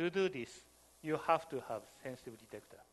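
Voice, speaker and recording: A man with a non-native accent, lively intonation and a moderate pace. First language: not English. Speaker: software developer and workshop lecturer. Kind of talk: lecture.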